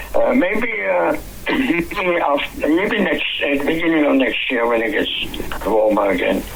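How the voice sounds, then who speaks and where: Noticeable background noise and audible room echo surround a man speaking fairly slowly. His loudness stays very even. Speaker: radio broadcaster and journalist. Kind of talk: interview. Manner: halting.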